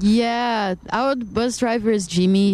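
A woman with a Brazilian accent speaks in a dark, mellow tone with fairly even intonation. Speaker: band member, musician. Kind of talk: casual interview chat.

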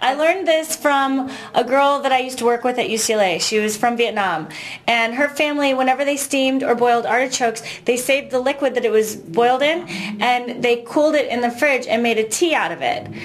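With noticeable background noise behind her, a woman talks at a fairly quick pace and a high pitch. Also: ordinary pitch variation. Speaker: musician. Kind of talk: casual chat.

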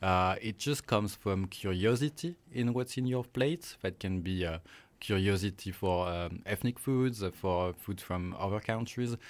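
A man's fairly low voice at a fairly slow pace with ordinary pitch variation, on a very clean recording with a silent background. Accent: French. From France. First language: French. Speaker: marketing professor. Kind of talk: interview. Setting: studio. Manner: halting.

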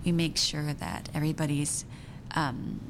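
With a Japanese accent, a woman speaks at a very deep, low pitch. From Japan (Tokyo), also raised in US and Belgium. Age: 30s. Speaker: actor and filmmaker. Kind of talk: interview.

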